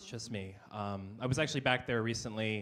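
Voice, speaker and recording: The speaker is a man. He talks with an American accent. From Texas. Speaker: stand-up comedian. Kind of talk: stand-up. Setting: stage with audience.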